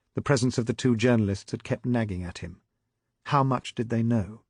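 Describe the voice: The speaker is plainly reading aloud. The background is quiet.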